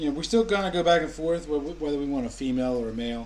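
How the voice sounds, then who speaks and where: A man with a New England accent talks at a very fast pace and a medium pitch, with ordinary pitch variation. The recording has audible room echo. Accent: Yankee. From US Mid-Atlantic, Maryland. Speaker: vlogger. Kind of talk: casual chat. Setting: live stream at home.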